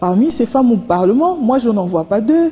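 This woman's pitch sits fairly high and swings very widely. Her pace is moderate. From DR Congo. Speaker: political analyst and journalist; political analyst, journalist. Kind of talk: TV interview. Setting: TV studio. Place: studio.

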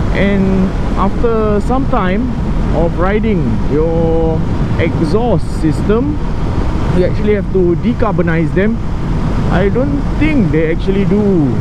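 Loud background noise fills the dry sound, which has no echo. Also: woman. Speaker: motorcycle rider vlogger. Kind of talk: casual vlog chat. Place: motorbike. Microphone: helmet.

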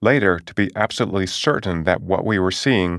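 A man with a normal speaking voice talks at a moderate pace and a fairly low pitch, with ordinary pitch variation. The recording is very clean, with a silent background and a dry, close sound with no echo. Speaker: audiobook narrator and author. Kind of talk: audiobook nonfiction reading, first-person memoir-style narration. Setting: studio. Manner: measured, clear, storytelling tone with light wry humor; steady, even-paced, explanatory.

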